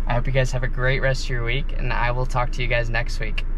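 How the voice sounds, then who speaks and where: A man is speaking over noticeable background noise. The sound is dry with no echo. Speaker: fishing vlogger. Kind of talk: casual vlog chat. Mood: disappointed but upbeat. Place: car. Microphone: phone near.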